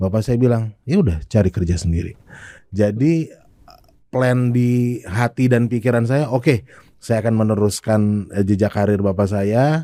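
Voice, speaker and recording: A man's medium-pitched voice with a dark, mellow tone, ordinary pitch variation, very even loudness and a moderate pace. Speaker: sales expert. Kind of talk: podcast interview. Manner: casual conversational.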